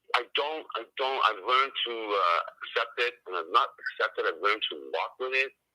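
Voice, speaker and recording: The man talks at a moderate pace with hardly any pauses. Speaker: father in custody dispute. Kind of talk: interview. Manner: loud.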